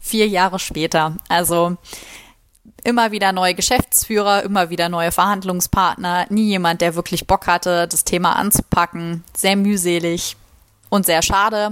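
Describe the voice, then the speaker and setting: In a dry, close sound with no echo, a woman with a medium-pitched voice speaks at a fairly slow pace with monotone, flat intonation. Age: 20s. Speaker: trainee union secretary. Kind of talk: pre-recorded voice message.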